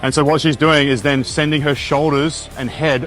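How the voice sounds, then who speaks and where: A man with a fairly high pitch talks while music runs in the background. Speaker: fitness coach. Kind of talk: exercise form tutorial.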